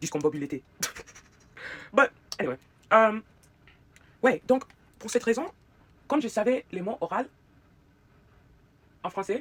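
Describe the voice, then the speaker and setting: In a dry, close recording with no echo, a woman with a fairly high pitch and vocal fry talks at a moderate pace, her pitch swinging very widely and her loudness shifting a lot, with long, frequent pauses. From United States. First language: English (speaking French). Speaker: YouTuber. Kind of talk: casual chat while doing makeup. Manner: halting, hesitant non-native French; code-switching with English fillers.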